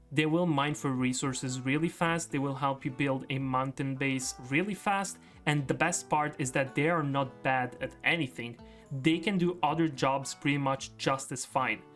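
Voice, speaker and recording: A moderate pace, with music in the background. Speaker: gaming video creator. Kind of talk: gaming commentary narration. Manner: casual, upbeat.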